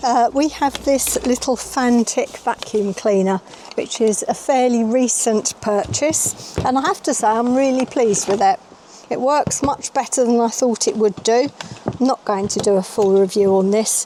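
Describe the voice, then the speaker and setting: Over noticeable background noise, a woman with a British accent speaks at a high pitch with very even loudness. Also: ordinary pitch variation, moderate pace. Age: 60s. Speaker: van life vlogger. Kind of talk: product walkthrough. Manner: casual, chatty.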